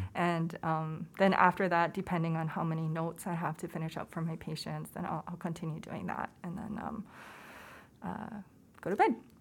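Her voice sits at a fairly low pitch, with monotone, flat intonation and vocal fry. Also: moderate pace. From Hawaii. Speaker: pediatrician. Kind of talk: interview.

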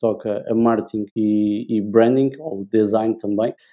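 A man speaks with a central Portugal accent. His pitch is medium. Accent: European Portuguese, central Portugal. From Portugal, Leiria. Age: 20s. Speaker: branding and communication specialist. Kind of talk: casual interview chat.

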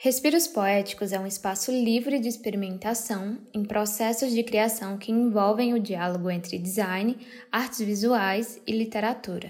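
This woman has a normal speaking voice, fairly high-pitched with ordinary pitch variation, talking at a moderate pace with hardly any pauses. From Brazil, Ceará (Crato). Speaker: artist and designer, podcast host. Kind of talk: scripted narration.

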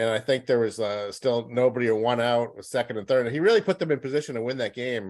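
The speech comes at a very fast pace with ordinary pitch variation. The recording is very clean, with a silent background. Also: man, medium pitch for a man. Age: 50s. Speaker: sports journalist. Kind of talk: casual interview.

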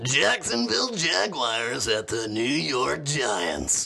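This man puts on a character voice at a medium pitch. He talks at a very slow pace. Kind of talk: broadcast sports. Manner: creepy, eerie announcer tone.

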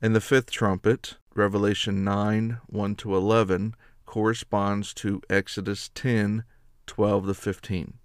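This is reading aloud in a natural voice. The delivery sounds like ordinary reading.

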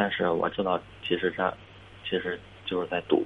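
The voice belongs to a man. It is pitched very deep and low. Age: 20s. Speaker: caller to advice show. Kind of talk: phone-in advice call. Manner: halting, many fillers and repetitions.

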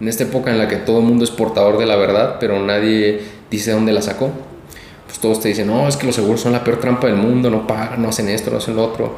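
A man rattles along at a very fast pace in a flat monotone, with audible room echo and noticeable background noise. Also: medium pitch for a man. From Sonora, Mexico. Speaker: insurance agent. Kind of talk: interview.

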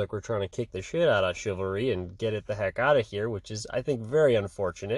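A man with a plain, everyday voice, medium pitch, ordinary pitch variation and a fairly quick pace. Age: 30s. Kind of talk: solo religious reflection podcast. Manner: casual with frequent fillers.

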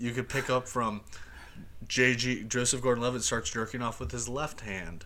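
Speaking at a fairly slow pace, a man has a medium pitch and a bright, sharp tone. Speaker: podcast host, entertainment editor. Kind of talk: casual chat.

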